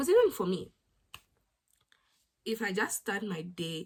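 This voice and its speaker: A woman talks at a moderate pace. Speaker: YouTube vlogger. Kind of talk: motivational vlog talk.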